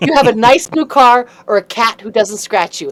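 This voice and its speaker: A woman with a fairly high pitch, over noticeable background noise. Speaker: improviser and comedic host. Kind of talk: interview. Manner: fast; slurred, high energy.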